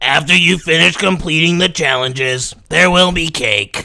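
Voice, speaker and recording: A man's put-on character voice, high-pitched, croaky, raspy and strained. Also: moderate pace. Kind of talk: comic overacting. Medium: game stream. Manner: flat, monotone, deadpan.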